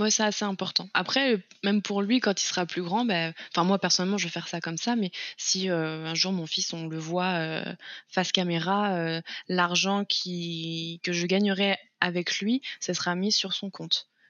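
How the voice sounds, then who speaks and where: In a normal speaking voice, a woman talks at a fairly slow pace and a medium pitch, with fairly even intonation. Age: 20s. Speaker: content creator, former childcare worker. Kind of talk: interview podcast.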